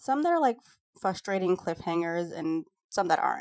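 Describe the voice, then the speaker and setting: Recorded very cleanly against a silent background, a woman with a plain, everyday voice uses lively intonation in a dry, close sound with no echo. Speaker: podcast co-host. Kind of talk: casual chat.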